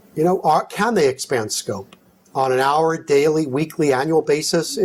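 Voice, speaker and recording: Lively intonation carries this moderate-paced delivery in a New York accent. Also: man. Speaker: physician and company executive, conference speaker. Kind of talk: conference presentation with Q&A.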